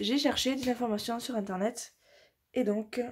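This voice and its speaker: At a moderate pace, the speech has a somewhat breathy sound. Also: woman. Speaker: craft vlogger. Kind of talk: tutorial. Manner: hesitant, many fillers.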